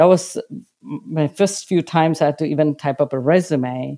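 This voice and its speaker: In a very clean recording with a silent background, a woman speaks with a very deep, low pitch and a dark, mellow tone. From India. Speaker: public sector procurement executive. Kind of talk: interview. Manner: halting, many fillers.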